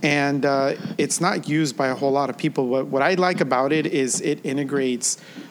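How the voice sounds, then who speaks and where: A man speaks at a fairly quick pace in a fairly high pitch, with an ordinary speaking voice. His intonation is fairly even and his loudness very even. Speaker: podcast co-host, educator. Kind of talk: casual tech podcast chat.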